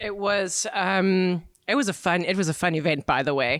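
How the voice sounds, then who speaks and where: A woman with a South African accent talks at a fairly slow pace with ordinary pitch variation, and the sound is dry and close with no echo. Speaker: cycling brand marketing manager. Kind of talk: podcast interview. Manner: energetic.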